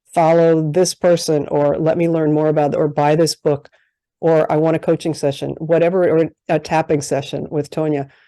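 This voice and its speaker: A woman with a fairly low pitch and a dark, mellow tone speaks at a moderate pace, the sound dry and close with no echo over a quiet background. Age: 60s. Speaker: life coach, podcast host. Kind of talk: interview podcast.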